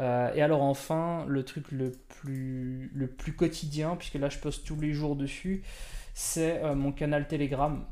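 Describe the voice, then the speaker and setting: A man speaks at a very slow pace in a fairly high pitch, his intonation monotone and flat. His tone is dark and mellow. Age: 30s. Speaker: podcast host and productivity coach. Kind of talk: casual solo talk on a livestream. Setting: live stream recording. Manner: halting, many repetitions and fillers.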